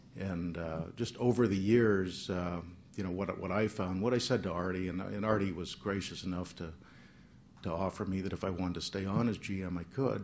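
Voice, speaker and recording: A very deep, low male voice with an American accent, fairly quick and fairly even in intonation, with audible room echo. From Southern California (West Covina). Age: 60s. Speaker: retiring baseball general manager. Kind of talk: press conference farewell speech. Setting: press conference. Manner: halting, many fillers.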